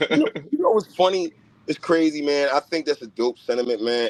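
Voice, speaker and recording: A man speaks with lively intonation. The sound is dry and close, without echo. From US, North Philadelphia. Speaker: rapper. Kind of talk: casual interview chat.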